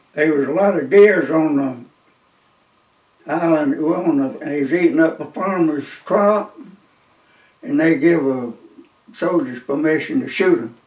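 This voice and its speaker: In a South Carolina accent, a man with a fairly high pitch talks at a fairly slow pace with long, frequent pauses. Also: ordinary pitch variation. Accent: Southern US (South Carolina). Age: 90s. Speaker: war veteran. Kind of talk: interview storytelling. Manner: halting.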